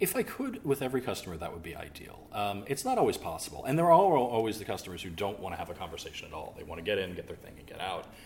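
A man speaking at a very fast pace, with audible room echo. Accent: American. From US South. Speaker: butcher. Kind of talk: interview.

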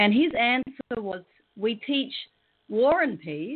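Lively in intonation, a woman talks at a fairly slow pace with an Australian accent. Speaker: professional clown and peace educator. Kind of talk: interview on spiritual radio show. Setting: remote computer link from Australia.

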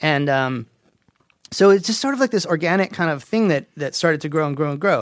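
With an ordinary speaking voice, a man talks at a fairly quick pace in a fairly high pitch, his intonation lively. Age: 40s. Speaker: game audio director, guest. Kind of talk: casual chat. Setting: studio.

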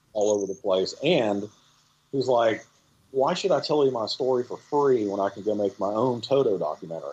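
Lively intonation marks this man's ordinary speaking voice at a medium pitch. He talks at a fairly quick pace. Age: 50s. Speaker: film director and music photographer. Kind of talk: interview. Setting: remote call.

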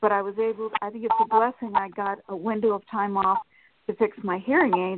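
A woman with an ordinary speaking voice, fairly high in pitch, fairly even in intonation and moderate in pace. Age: 60s. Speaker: caller. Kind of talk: phone call-in asking for a reading.

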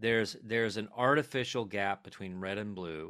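Bright and sharp in tone, a man with a fairly low pitch keeps fairly even intonation at a moderate pace. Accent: American. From US small town. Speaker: playwright and actor. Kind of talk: interview. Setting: video call. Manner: halting.

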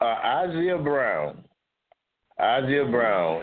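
A man speaks with an Alabama accent. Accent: Southern US (Alabama). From US South, Mobile, Alabama. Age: 70s. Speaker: retired military officer and community historian. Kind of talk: interview.

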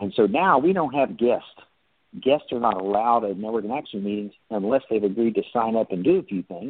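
At a fairly quick pace, a man talks at a medium pitch in an unremarkable speaking voice. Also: lively intonation. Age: 60s. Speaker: franchise founder and CEO. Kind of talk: interview.

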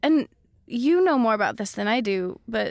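A woman on a very clean recording, silent background. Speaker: musician. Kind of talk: casual chat. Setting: studio.

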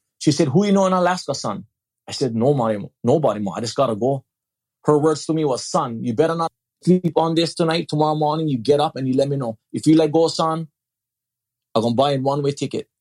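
A man with a fairly high pitch talks very fast in an animated tone, his pitch varying in an ordinary way. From Hawaii, Big Island. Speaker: former addict and ex-prisoner turned speaker. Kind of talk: testimony. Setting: online audio room.

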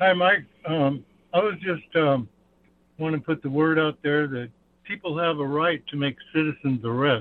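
A man with an unremarkable speaking voice, fairly high-pitched, speaks at a moderate pace with ordinary pitch variation. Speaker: caller. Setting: phone call.

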